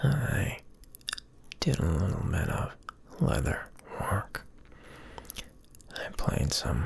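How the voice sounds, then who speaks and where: The pace is very slow as the words come out in a whisper. Background noise is noticeable throughout. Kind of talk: soft-spoken ASMR ramble. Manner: soft-spoken.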